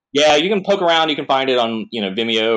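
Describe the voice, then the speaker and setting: Very fast and with lively intonation, a man rattles through his words. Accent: American. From North Carolina. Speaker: comic artist. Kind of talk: casual chat.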